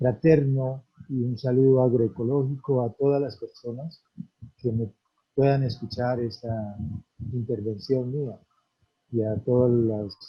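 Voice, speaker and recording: A man's somewhat breathy voice, very slow in pace, with fairly even intonation. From Colombia, Antioquia/Caldas paisa region. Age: 60s. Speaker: farmer and community leader. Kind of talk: conference talk.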